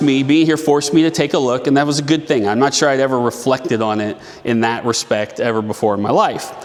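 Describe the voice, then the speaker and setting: A man with a Midwestern US accent talks at a fairly quick pace with hardly any pauses. His pitch is fairly high, and there is noticeable background noise. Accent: US Midwest. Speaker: city council member. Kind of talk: storytelling talk. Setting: event venue stage with audience. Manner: loud. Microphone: no microphone.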